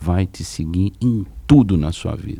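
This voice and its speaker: With a very deep, low pitch and a dark, mellow tone, a man speaks at a moderate pace using lively intonation. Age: 60s. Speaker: public finance official. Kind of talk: podcast interview.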